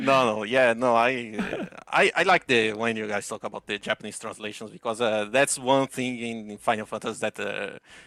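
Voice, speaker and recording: A bright, sharp tone in a Portuguese accent, at a moderate pace with hardly any pauses and ordinary pitch variation, in a dry, close sound with no echo. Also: man, medium pitch for a man. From Brazil. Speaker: caller. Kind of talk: casual chat. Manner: halting.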